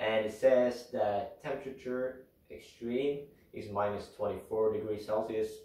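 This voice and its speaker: A man speaks with a Swedish accent in a dark, mellow, somewhat breathy tone. His pace is fairly slow, and the room echo is audible. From Sweden. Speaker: outdoor vlogger. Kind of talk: gear tutorial. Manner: casual, hesitant with fillers.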